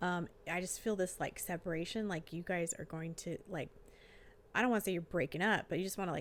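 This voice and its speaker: A woman talks at a medium pitch. She is soft-spoken. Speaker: tarot reader and life coach. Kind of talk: tarot reading. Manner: casual with many fillers. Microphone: new microphone.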